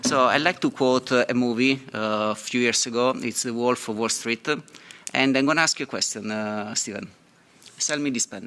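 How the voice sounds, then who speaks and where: A man speaks with a non-native accent. His pitch sits in the medium range. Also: ordinary pitch variation, moderate pace. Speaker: software engineer and fintech entrepreneur. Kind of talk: panel talk. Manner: halting, many fillers.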